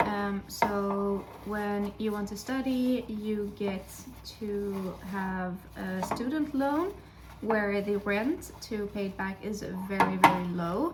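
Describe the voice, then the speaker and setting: There is noticeable background noise as a woman speaks. She talks very slowly, with ordinary pitch variation. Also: medium pitch for a woman. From Sweden. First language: Dutch. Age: 20s. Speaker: vlogger and teaching student. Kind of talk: casual vlog chat. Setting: home kitchen while baking. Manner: hesitant with many fillers.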